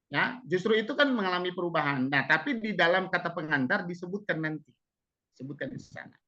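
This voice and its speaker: A man's high-pitched voice, bright and sharp, with lively intonation at a fairly quick pace. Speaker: webinar speaker on textbook writing. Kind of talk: webinar Q&A answer. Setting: online webinar. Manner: fast.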